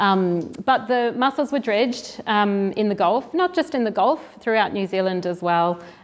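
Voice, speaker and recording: With a slight Australian accent, a woman speaks at medium pitch and a moderate pace, her intonation lively and her speech with hardly any pauses. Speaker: marine restoration program director. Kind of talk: seminar presentation. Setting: venue with live audience. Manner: halting, many fillers.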